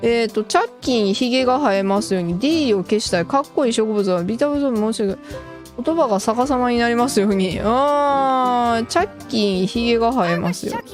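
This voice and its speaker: Music plays in the background as a woman with a Kansai accent speaks at a fairly quick pace, fairly high pitch and lively intonation. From Kansai, Japan. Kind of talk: casual gameplay commentary.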